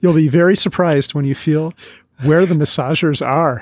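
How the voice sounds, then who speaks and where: A man's fairly high-pitched voice. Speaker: podcast co-host. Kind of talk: casual chat. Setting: studio. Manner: fast talker, mumbles.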